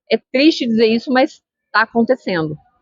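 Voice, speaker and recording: A woman talks with a fairly high pitch. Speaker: school psychologist. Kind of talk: interview answering student questions. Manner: fast.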